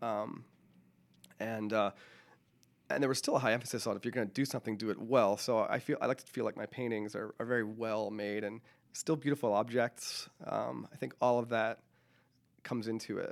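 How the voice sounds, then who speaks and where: At a fairly quick pace broken by long, frequent pauses, a man talks at a medium pitch. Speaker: painter and musician. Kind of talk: radio interview. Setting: radio studio. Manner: fast talker; hesitant, filler-heavy.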